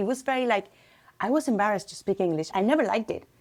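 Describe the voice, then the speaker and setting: With a Spanish accent, a woman speaks at a fairly high pitch and with lively intonation. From Costa Rica. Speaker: crochet business owner. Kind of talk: casual chat.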